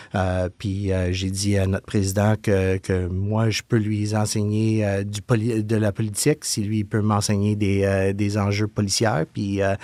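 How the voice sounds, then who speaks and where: A man with a dark, mellow tone and fairly low pitch speaks at a fairly slow pace in a monotone, flat intonation with hardly any pauses, recorded very cleanly against a silent background. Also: dry, close sound with no echo. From Quebec, Montreal. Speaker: communications director of a police association. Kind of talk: interview. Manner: halting, many hesitations.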